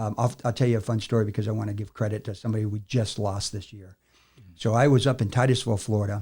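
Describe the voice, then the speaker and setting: Very fast and somewhat breathy, a man talks in a dark, mellow tone with fairly even intonation over a very clean recording with a silent background. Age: 60s. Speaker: army veteran and business facilitator. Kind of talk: podcast interview. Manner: frequent fillers, casual.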